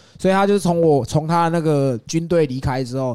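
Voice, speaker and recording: This man speaks at a fairly quick pace in a fairly high voice, his pitch swinging very widely. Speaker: podcast host. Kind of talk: casual chat.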